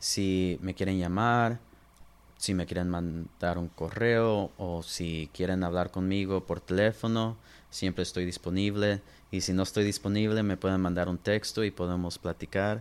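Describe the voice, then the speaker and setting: At a fairly slow pace, a man talks with fairly even intonation. His pitch is very deep and low. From Los Angeles and Inland Empire, California. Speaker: lawyer. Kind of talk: interview.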